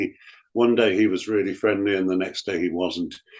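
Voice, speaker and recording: Quiet background behind a man with an English accent. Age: 70s. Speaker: actor. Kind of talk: interview.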